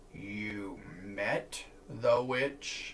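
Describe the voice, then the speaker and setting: Over clear background noise, a man puts on a growling character voice at a medium pitch. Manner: threatening, growl-tinged.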